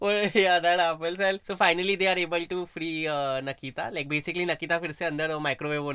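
Bright and sharp in tone, a man talks at a high pitch with fairly even intonation and hardly any pauses. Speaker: podcast co-host. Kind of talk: casual chat.

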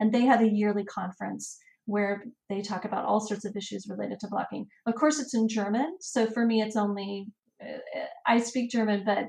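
With a somewhat breathy quality, the woman keeps her intonation fairly level. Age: 40s. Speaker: travel and family blogger. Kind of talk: interview.

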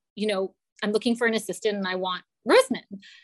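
A woman talks at a fairly quick pace in a fairly high, animated voice with ordinary pitch variation. The sound is dry and close, with no echo. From Canada, London Ontario. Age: 40s. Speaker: fashion and PR professional. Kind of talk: interview.

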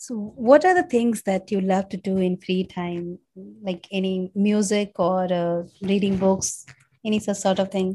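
Fairly slowly and with fairly even intonation, a woman speaks at a medium pitch in a somewhat breathy voice with a dark, mellow tone. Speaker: podcast host. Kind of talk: podcast interview.

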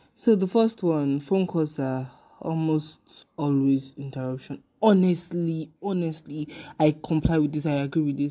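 A woman with a very deep, low voice and a dark, mellow tone speaks at a fairly slow pace with ordinary pitch variation. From West Africa. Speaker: podcast host. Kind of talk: casual monologue. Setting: home recording. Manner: animated.

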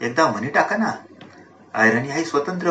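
Noticeable background noise behind a man's fairly high voice. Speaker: professor and literary conference president. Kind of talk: public speech.

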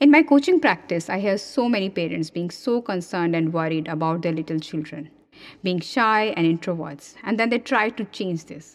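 In a normal speaking voice, a woman talks at a moderate pace and medium pitch with lively intonation. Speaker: parenting coach and podcast host. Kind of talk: scripted solo podcast monologue. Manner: calm, soothing, reflective.

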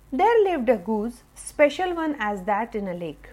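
The tone is warm and animated, with very wide pitch swings. Noticeable background noise can be heard. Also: woman. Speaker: storyteller. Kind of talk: fairy-tale narration for children. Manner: warm, animated storyteller voice.

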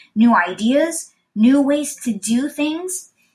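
The speaker is a woman with an upbeat, warm tone. Her intonation is lively. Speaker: podcast host. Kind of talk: motivational pep talk. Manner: upbeat, encouraging, warm; earnest, steady and positive.

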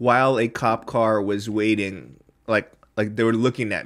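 In an American accent, a man with a medium pitch and ordinary pitch variation speaks in a plain, everyday voice. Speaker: podcast host. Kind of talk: casual chat. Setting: studio.

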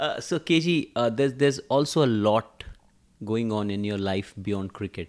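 A man with an unremarkable speaking voice talks at a fairly slow pace and a fairly low pitch. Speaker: podcast host. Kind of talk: casual chat.

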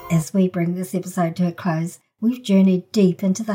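This woman's voice has a dark, mellow tone and is somewhat breathy. She speaks at a moderate pace with fairly even intonation. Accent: New Zealand. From New Zealand. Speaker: podcast host. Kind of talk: scripted intro narration.

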